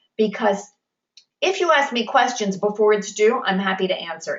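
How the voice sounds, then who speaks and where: A woman talks at a medium pitch. She has an unremarkable speaking voice. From New York. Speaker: college instructor. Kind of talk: online class lecture. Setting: video conference.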